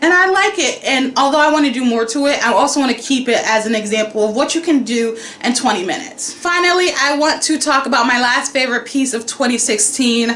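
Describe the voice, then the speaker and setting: With hardly any pauses, a woman speaks at a fairly quick pace in a high voice, her loudness very even and her pitch varying in an ordinary way, amid audible room echo and noticeable background noise. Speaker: painter and art vlogger. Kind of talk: casual vlog talk. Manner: loud, excitable.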